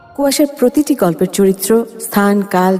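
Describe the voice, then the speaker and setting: A woman speaks at a medium pitch with lively intonation. Noticeable background noise runs under her voice. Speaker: radio jockey. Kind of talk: horror story narration.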